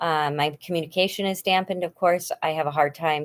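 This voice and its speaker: The speaker is a woman. She talks at a fairly quick pace. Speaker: video blogger. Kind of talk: casual livestream chat. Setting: home livestream, cuddled up with blanket. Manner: halting, searching for words.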